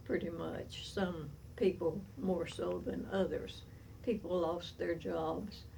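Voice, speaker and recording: Through noticeable background noise and audible room echo, a woman with an Appalachian accent talks at a very slow pace. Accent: Southern US (Appalachian). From US South, East Tennessee. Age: 80s+. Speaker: centenarian storyteller. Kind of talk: oral history reminiscence. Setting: at home.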